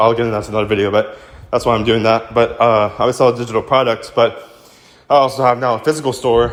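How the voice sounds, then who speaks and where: A man at medium pitch, talking at a very fast pace. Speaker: social media creator. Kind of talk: casual tutorial. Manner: casual, filler-heavy.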